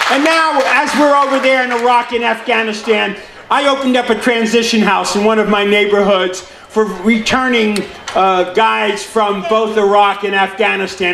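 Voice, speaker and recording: Over noticeable background noise, a man with an American accent speaks at an extremely high pitch and a moderate pace, with ordinary pitch variation and very even loudness. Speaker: city councilman giving a speech. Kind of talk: public speech at a veterans celebration. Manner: commanding, energetic.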